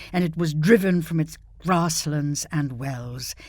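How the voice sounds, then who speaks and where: The recording is very clean, and the background is silent. A plain, everyday voice talks at a fairly slow pace, its pitch varying in an ordinary way. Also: woman. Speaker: actress. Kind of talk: dramatic poetry reading.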